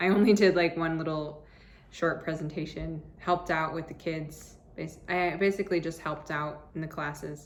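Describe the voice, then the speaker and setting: A woman's very deep, low voice in an American accent, monotone and flat at a moderate pace, over noticeable background noise. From US Southwest, Arizona. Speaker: travel vlogger and English teacher. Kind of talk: casual vlog monologue.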